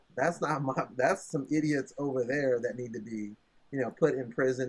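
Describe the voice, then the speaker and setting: With an unremarkable speaking voice, a man speaks at a moderate pace and a fairly high pitch. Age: 60s. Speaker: tech entrepreneur. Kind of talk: casual chat.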